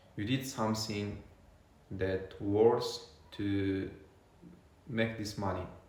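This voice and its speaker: With a non-native accent and ordinary pitch variation, a man talks very slowly at a fairly low pitch, with noticeable background noise and audible room echo. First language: not English. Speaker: vlogger documenting a money challenge. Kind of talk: unscripted talk to camera. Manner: halting, many fillers.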